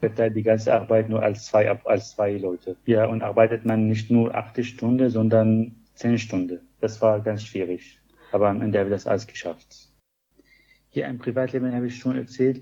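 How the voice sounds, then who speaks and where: A man talks at a moderate pace in a dark, mellow tone with fairly even intonation. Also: medium pitch for a man. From Syria. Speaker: pharmacist. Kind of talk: interview.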